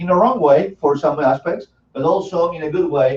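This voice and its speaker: Somewhat breathy, a man with an Argentine accent speaks at a moderate pace. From Argentina. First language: Spanish. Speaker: financial services presenter, former engineer. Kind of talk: sales presentation.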